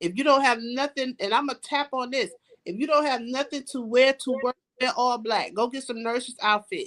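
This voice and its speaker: A woman's high-pitched voice with a bright, sharp tone and ordinary pitch variation. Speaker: salon owner and cosmetologist. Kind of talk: casual interview chat.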